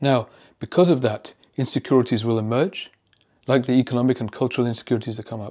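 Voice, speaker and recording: A man with a British accent at a fairly quick pace on a very clean recording with a silent background. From UK. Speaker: psychiatrist. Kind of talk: educational commentary video.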